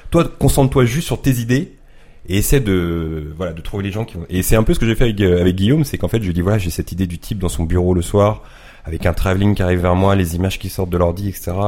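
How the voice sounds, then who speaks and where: With a dark, mellow tone and a very deep, low pitch, a man talks at a very fast pace, his pitch varying in an ordinary way. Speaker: YouTuber and photographer. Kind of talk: casual chat.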